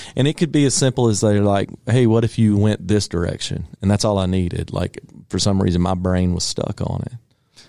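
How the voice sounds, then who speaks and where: Recorded very cleanly against a silent background, a man with a Southern US accent talks at a moderate pace in a fairly low pitch with a dark, mellow tone. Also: ordinary pitch variation. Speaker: singer-songwriter. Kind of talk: casual interview. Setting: radio studio.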